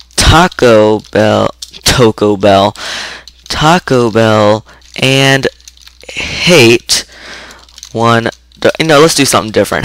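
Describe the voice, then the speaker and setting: Very slow speech with ordinary pitch variation, in a dry, close sound with no echo, over noticeable background noise. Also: man. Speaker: programming tutorial maker. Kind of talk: screen-recorded coding tutorial. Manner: stuttering, halting; casual, informal.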